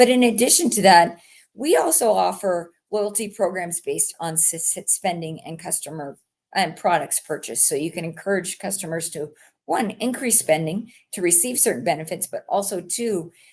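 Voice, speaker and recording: A woman with a fairly low pitch has an unremarkable speaking voice, speaking at a moderate pace with ordinary pitch variation. Her loudness swings a lot over a quiet background. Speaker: company representative. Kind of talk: live stream presentation. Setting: live stream.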